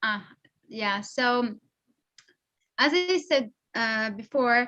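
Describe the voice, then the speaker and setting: This voice has a bright, sharp tone and comes with a Persian accent. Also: woman. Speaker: polyglot social media creator. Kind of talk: interview. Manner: hesitant. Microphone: unstable connection.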